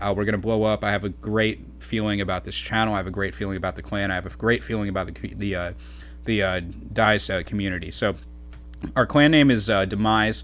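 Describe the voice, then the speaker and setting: Very wide pitch swings run through very fast speech. Music plays in the background. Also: man, fairly low pitch for a man. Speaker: gaming YouTuber and clan organizer. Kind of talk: gameplay commentary. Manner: halting, many fillers and stutters.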